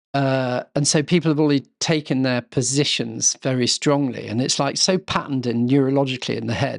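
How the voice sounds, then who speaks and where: A man with an English accent talks at a medium pitch with hardly any pauses, in a dry, close sound with no echo over a quiet background. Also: fairly quick pace. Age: 60s. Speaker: estate custodian. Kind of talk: casual chat. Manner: halting.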